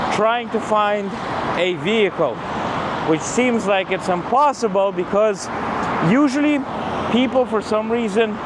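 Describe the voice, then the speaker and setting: Loud background noise surrounds a man who speaks at a fairly slow pace with long, frequent pauses, the sound dry with no echo. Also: ordinary pitch variation. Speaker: vlogger. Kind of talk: casual vlog chat. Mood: mildly frustrated. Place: street. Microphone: lapel.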